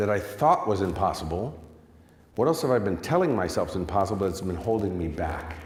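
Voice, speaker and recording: A man with an American accent speaks in an animated tone, somewhat breathy and fairly low in pitch. Room echo is audible. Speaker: success coach. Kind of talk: motivational talk. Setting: stage with audience.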